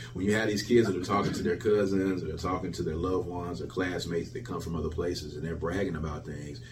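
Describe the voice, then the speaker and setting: Talking at a very fast pace with hardly any pauses, the speaker has a Mississippi accent, and the recording carries audible room echo and noticeable background noise. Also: man, very deep, low pitch for a man, ordinary pitch variation. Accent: US Southern (Mississippi). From Jackson, Mississippi. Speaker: hip hop artist and music festival founder. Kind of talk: interview.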